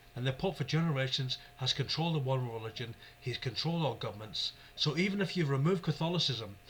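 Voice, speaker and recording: With a Scottish accent, a man speaks at a fairly quick pace and a fairly high pitch with ordinary pitch variation. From Scotland. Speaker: YouTube religious commentator. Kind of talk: religious monologue. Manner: fast; animated.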